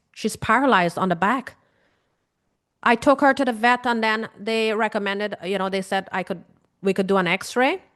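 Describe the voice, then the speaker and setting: With a Caribbean accent, a woman speaks in an animated tone at a fairly high pitch with ordinary pitch variation, over a quiet background. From Guyana. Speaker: grief coach. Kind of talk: webinar talk.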